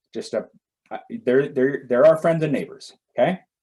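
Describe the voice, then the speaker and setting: A man's dark, mellow tone with vocal fry, very wide pitch swings, and a moderate pace. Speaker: education director giving keynote. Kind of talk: presentation and Q&A on a video call. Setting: video call. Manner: repetitive, with fillers and restarts.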